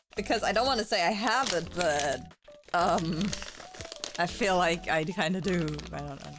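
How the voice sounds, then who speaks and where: With music in the background, a woman speaks at a moderate pace and fairly low pitch, using ordinary pitch variation and long, frequent pauses. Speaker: vtuber. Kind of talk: casual chat. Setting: live stream.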